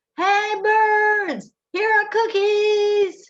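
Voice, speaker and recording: A woman shouts loudly in a squeaky, extremely high put-on character voice. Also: monotone, flat intonation. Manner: loud shout.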